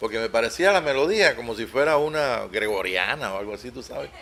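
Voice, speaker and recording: This man's pitch sits fairly high. He talks at a fairly quick pace. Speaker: preacher. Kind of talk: sermon. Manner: halting, with many repetitions.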